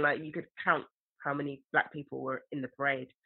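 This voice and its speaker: A woman talks at a very fast pace in a very deep, low voice. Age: 30s. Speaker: filmmaker. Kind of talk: casual chat.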